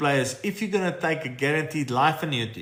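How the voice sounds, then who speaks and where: A man's lively intonation with audible room echo. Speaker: financial adviser hosting live Q&A. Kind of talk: live stream Q&A. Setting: TikTok live stream. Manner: casual, conversational.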